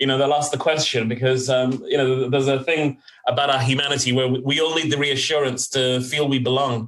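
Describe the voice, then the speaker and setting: Monotone and flat, a man talks at a fairly quick pace with very even loudness and hardly any pauses. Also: medium pitch for a man. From West London, England. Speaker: corporate talent executive. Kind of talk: interview conversation. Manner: reflective, with fillers.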